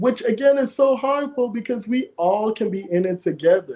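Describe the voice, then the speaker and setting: A man's dark, mellow voice in an American accent, at a moderate pace. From US South, Charleston, South Carolina (Gullah Geechee). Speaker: mental health guest. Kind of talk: podcast interview.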